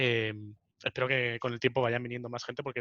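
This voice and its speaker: Talking at a very fast pace, a man with a Spanish accent holds a medium pitch. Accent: Peninsular Spanish. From Spain. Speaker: podcast host. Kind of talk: casual chat.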